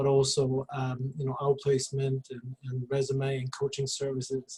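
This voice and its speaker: A somewhat breathy voice speaking at a moderate pace. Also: man. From Sweden. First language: Swedish. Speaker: recruiter and career coach. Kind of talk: panel discussion. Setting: video call.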